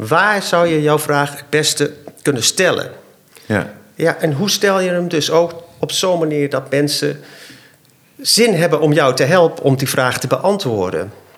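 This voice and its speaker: With lively intonation and a fairly high pitch, a man talks at a fairly slow pace over noticeable background noise. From Zambia, Dutch family. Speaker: inventor and designer. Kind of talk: casual interview.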